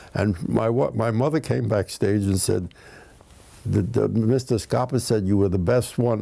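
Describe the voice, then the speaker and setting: A man with a New York accent speaks at a moderate pace. His medium-pitched voice has a dark, mellow tone and ordinary pitch variation. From Bronx, New York. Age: 90s. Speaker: comedian, writer. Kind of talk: interview answer.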